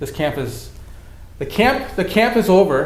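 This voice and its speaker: Amid noticeable background noise and audible room echo, a man talks in an American accent. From US Midwest, Racine, Wisconsin. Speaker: youth minister. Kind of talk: casual chat. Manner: halting, many repetitions.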